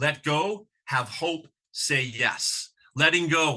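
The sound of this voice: A man speaks slowly in a fairly high pitch, his tone bright and sharp and his pitch variation ordinary.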